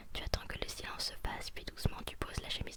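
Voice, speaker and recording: Whispering at a very fast pace, a woman speaks over noticeable background noise. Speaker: ASMR creator. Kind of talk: read story. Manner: whispered.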